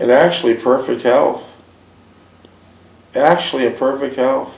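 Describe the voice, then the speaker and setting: A plain, everyday voice from a man, medium in pitch, fairly even in intonation, at a fairly slow pace. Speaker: interviewer. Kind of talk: interview questions.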